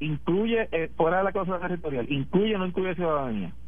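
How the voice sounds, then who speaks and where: A man talks at a very fast pace, his voice carrying audible room echo. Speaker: politician. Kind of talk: radio interview.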